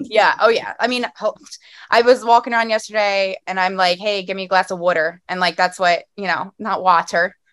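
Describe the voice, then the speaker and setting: Speaking with a Philadelphia accent, a woman talks at a fairly quick pace with medium pitch and ordinary pitch variation. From Philadelphia area, US. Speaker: podcast host. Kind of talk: casual interview chat. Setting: on vacation in Ocean City, New Jersey.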